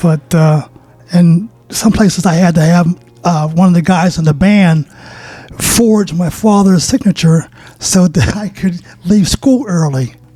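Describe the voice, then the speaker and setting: Amid noticeable background noise, a man with an American accent and a high pitch talks at a fairly slow pace with long, frequent pauses. His loudness stays very even, and his pitch variation is ordinary. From Pittsburgh, Pennsylvania. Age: 70s. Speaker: saxophone player. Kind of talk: interview.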